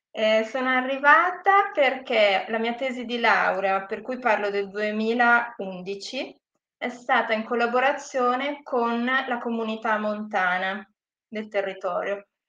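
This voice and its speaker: Speaking at a very slow pace, the woman has a fairly high pitch and a bright, sharp tone. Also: ordinary pitch variation. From northern Italy, Lake Como (Gravedona). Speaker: sustainable tourism professional. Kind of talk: interview.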